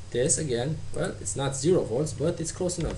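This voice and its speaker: This man has a fairly high voice. Noticeable background noise and audible room echo surround him. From Romania. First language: Romanian. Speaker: tutorial maker. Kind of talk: tutorial. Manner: halting.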